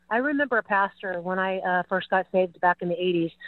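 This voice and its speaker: The speaker is a woman. She has an unremarkable speaking voice. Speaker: caller. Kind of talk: call-in talk radio. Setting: phone call.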